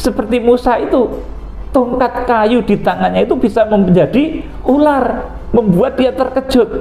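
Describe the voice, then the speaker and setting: The man talks at a moderate pace, his voice carrying audible room echo along with noticeable background noise. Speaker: pastor. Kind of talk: sermon. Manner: sometimes tongue-tied, stumbling.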